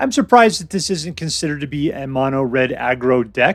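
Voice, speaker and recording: A fairly high-pitched man talking at a fairly quick pace over background music. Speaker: gaming YouTuber. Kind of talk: casual commentary. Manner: casual, conversational.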